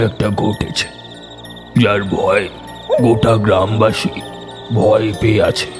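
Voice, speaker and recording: A man performs a cartoonish character voice at a fairly slow pace while clear music plays in the background. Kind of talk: horror narration.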